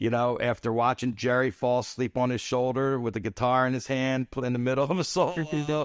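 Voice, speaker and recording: In a New Jersey accent, a man of medium pitch talks at a fairly quick pace, the sound dry and close with no echo over a quiet background. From US Northeast, Atlantic City, New Jersey. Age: 60s. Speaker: celebrity photographer. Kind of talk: casual interview chat. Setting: studio.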